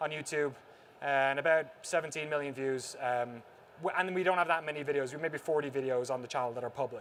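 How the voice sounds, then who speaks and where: Speaking in a strong Irish accent, a man moves at a fairly quick pace. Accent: thick Irish. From Ireland, Waterford (south). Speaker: documentary filmmaker, former games journalist. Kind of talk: conference talk. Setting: stage with audience.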